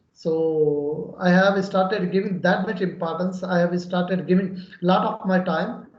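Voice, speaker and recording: With a Pakistani accent, a man speaks in a monotone, flat way against noticeable background noise. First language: Urdu. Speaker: English learner. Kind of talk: conversation practice. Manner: halting.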